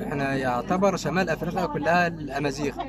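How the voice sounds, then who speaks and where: A man speaks in a fairly high voice at a moderate pace. Noticeable background noise is present. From Siwa Oasis, Egypt. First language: Siwi Berber (Amazigh) (speaking Arabic). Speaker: local resident. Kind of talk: casual interview. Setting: outdoors at sunset. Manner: halting.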